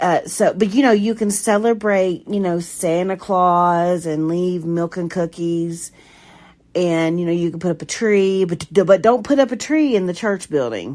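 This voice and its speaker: Fairly low-pitched for a woman, her voice moves at a fairly slow pace with ordinary pitch variation. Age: 40s. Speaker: podcaster sharing personal story. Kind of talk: personal testimony monologue. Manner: halting, many fillers.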